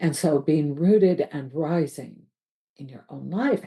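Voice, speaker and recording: Her dark, mellow tone carries vocal fry as the woman speaks with ordinary pitch variation. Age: 60s. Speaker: life coach. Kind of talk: reflective monologue.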